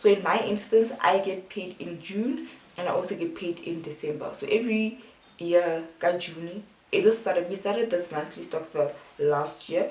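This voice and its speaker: A woman speaks at a moderate pace and medium pitch, with lively intonation and big swings in loudness. Noticeable background noise runs underneath. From South Africa. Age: 20s. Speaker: student. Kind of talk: casual talk to camera.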